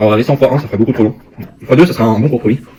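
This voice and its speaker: Against noticeable background noise, a man of medium pitch speaks at a very fast pace with fairly even intonation. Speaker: YouTuber. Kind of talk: food tasting vlog. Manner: fast, sometimes stammering; eating while talking.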